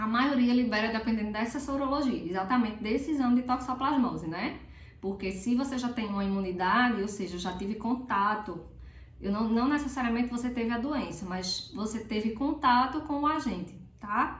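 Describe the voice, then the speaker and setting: In a room with audible echo and noticeable background noise, a woman speaks at a moderate pace with a fairly high pitch and ordinary pitch variation. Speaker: prenatal health educator. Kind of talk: health tutorial. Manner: casual, chatty.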